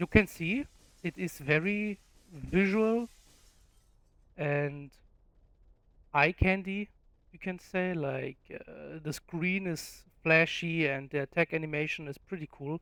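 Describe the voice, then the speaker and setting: Someone with a non-native accent speaks at a very slow pace, with long, frequent pauses. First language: not English. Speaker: gaming YouTuber. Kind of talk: game guide tutorial. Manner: casual, with filler words.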